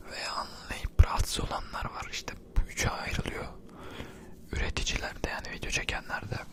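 A man whispers at a moderate pace with noticeable background noise around him. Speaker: ASMR content creator. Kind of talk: casual talk to camera, opinion commentary.

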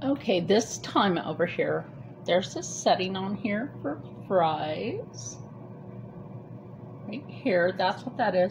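A woman's voice at a very slow pace with very wide pitch swings, over noticeable background noise. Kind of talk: tutorial. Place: kitchen.

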